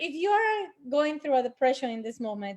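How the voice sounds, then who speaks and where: Against a quiet background, a woman talks with a Spanish accent. Her pitch is high. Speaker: angel healer. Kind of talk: panel discussion.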